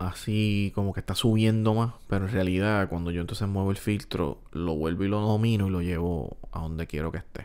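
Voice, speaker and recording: A man talks at a fairly quick pace and a fairly low pitch, with hardly any pauses. His intonation stays fairly even. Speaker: music production tutorial youtuber; music producer tutor. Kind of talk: tutorial. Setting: home recording room. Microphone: studio mic.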